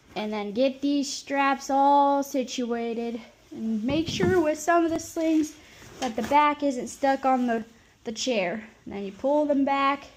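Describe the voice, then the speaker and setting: Speaking at a fairly slow pace, a woman with a Nebraska accent has a high pitch and a playful tone. Her pitch variation is ordinary, and noticeable background noise can be heard. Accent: rural Nebraska. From Nebraska, US Midwest. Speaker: caregiver. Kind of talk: tutorial. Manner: casual, playful.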